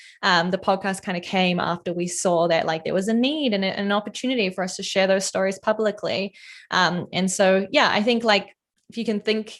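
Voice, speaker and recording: Recorded very cleanly against a silent background, a woman speaks with a New Zealand accent. Her medium pitch shows ordinary variation at a fairly quick pace. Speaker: product designer and content creator. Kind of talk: casual interview chat. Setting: livestream. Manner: casual, frequent fillers.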